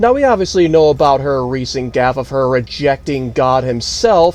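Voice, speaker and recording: A man talks at a moderate pace. Behind him, music can be heard. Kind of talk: political news commentary.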